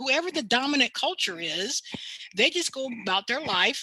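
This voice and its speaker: A woman's plain, everyday voice, lively in intonation and moderate in pace. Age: 60s. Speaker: diversity consultant and university lecturer. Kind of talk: panel talk on race.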